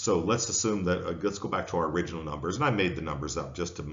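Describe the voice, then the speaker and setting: With an American accent, a man speaks in a very deep, low pitch amid audible room echo. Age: 60s. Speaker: professor. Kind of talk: lecture.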